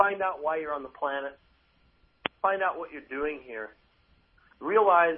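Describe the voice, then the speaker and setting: Fairly high in pitch, a man's voice with an American accent shows ordinary pitch variation. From US. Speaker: chiropractor. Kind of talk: radio interview. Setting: remote line from Chicago. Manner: animated.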